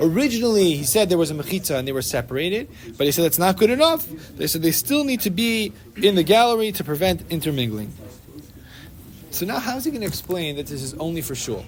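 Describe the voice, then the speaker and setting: Talking at a very fast pace, a man uses a high pitch with very wide pitch swings. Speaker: Torah class teacher. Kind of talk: religious study class discussion.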